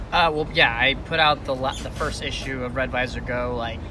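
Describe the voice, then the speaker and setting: Noticeable background noise and audible room echo are heard throughout. Through them, a man talks fairly quickly. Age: 20s. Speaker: comic book artist. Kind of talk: interview.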